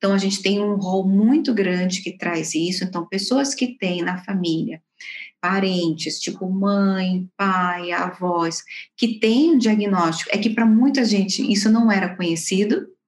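A woman's somewhat breathy voice carries ordinary pitch variation as she talks at a fairly slow pace. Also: medium pitch for a woman. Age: 40s. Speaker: organizational psychologist. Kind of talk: interview.

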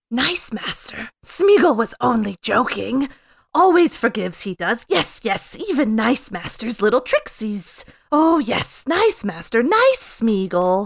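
A woman puts on a character voice at a fairly high pitch. She goes at a fairly slow pace. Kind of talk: fan impression of film character. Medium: game stream. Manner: wheedling, sly, repetitive hissing.

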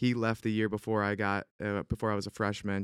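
In a dry, close sound with no echo, a man with an Upstate New York accent talks at a fairly quick pace, his fairly low pitch in a flat monotone. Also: very clean recording, silent background. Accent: Upstate New York American. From Central New York (Syracuse). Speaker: former pro baseball player, real estate agent. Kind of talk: casual chat.

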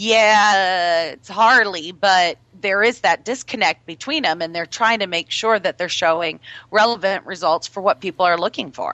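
At a moderate pace, an ordinary speaking voice carries ordinary pitch variation. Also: woman, medium pitch for a woman, big swings in loudness. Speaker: radio host. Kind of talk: radio interview. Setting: live radio show with online chat room. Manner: chatty, upbeat.

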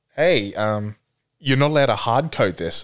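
The recording is very clean with a silent background as a man with an Australian accent speaks with lively intonation. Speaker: guest. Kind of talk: casual chat.

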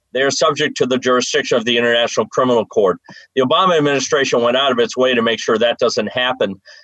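Talking at a very fast pace, a man with an American accent keeps a very even loudness, in a dry, close sound with no echo. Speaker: presidential candidate, comedian. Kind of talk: political debate.

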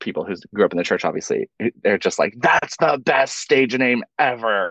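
The sound is dry and close with no echo as a man speaks in an American accent. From North Carolina. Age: 40s. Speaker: drag performer and musician. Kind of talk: casual chat.

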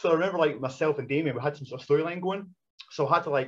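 A somewhat breathy man talks at a very fast pace with ordinary pitch variation. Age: 40s. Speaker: retired wrestler. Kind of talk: casual chat. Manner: fast talker.

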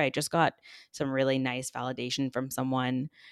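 Recorded very cleanly against a silent background, a woman with an American accent speaks at a very deep, low pitch, the sound dry and close with no echo. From Texas, San Antonio. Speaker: influencer and podcast host. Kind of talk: casual chat.

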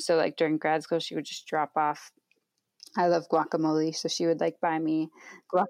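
A woman with an American accent talks at a moderate pace in a fairly low pitch and fairly even intonation, with a dry, close sound with no echo on a very clean recording with a silent background. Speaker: social worker and podcaster. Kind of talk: interview conversation. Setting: at parents' house.

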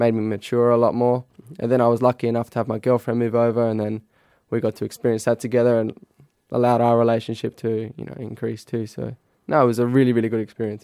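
Speaking very fast in an Australian accent, this voice has a dark, mellow tone and flat, monotone intonation, recorded with a dry, close sound and no echo. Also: man, medium pitch for a man. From Adelaide, South Australia. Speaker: professional footballer. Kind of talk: casual interview. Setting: studio.

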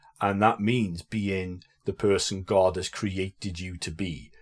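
A man with a South Welsh accent speaks at a fairly low pitch on a very clean recording with a silent background. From Wales, Aberdare. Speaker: priest. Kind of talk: casual chat.

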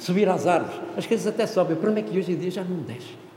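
Talking at a very fast pace in a high voice, a man is heard over noticeable background noise with audible room echo. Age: 60s. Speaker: professor. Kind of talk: seminar talk. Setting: conference room with audience. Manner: animated.

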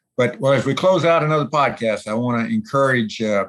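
Against a quiet background, a man has an ordinary speaking voice with ordinary pitch variation. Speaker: podcast host. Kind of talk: interview.

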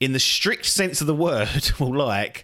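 A man's medium-pitched voice with a fairly bright tone at a moderate pace.

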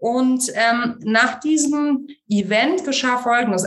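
This woman's voice sits high and shows ordinary pitch variation. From Germany, Munich. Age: 30s. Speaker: founder of a women's network. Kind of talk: interview. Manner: hesitant, many fillers.

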